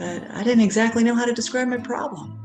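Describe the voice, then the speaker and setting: Music plays in the background as the speech moves along fairly quickly. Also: woman. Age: 40s. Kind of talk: personal story talk to camera.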